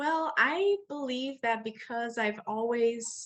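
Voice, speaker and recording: Speaking at a fairly slow pace with ordinary pitch variation, a woman talks in a Brazilian Portuguese accent. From Brazil, Rio de Janeiro. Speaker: English teacher trainer, entrepreneur. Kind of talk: interview. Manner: halting, with fillers.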